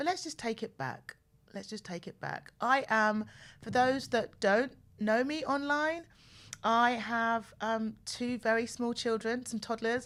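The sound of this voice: Speaking at a fairly slow pace, a woman has a fairly high pitch, a fairly bright tone and ordinary pitch variation.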